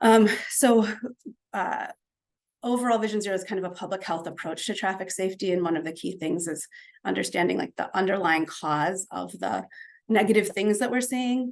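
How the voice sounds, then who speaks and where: Long, frequent pauses break up this woman's speech, which has vocal fry, a medium pitch and ordinary pitch variation. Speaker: city traffic safety planner presenting to a community group. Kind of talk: presentation at a community meeting. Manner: fast; many filler words (um).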